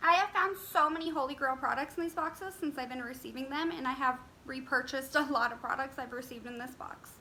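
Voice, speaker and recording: A woman in a raised, projected voice talks at a very fast pace with hardly any pauses, in a high pitch with ordinary pitch variation and big swings in loudness. Noticeable background noise is present. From Las Vegas, Nevada, USA. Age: 20s. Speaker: beauty YouTuber. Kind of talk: casual talk to camera, product review.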